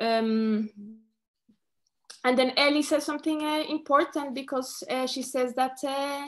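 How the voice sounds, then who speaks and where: Her voice sits at a high pitch, and this woman keeps her intonation fairly even. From Colombia. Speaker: choreographer and performer. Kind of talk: lecture talk. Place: home room.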